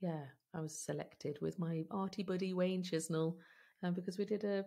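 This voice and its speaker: A somewhat breathy woman with a dark, mellow tone against a quiet background. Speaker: podcast guest. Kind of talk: interview answer. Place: home room.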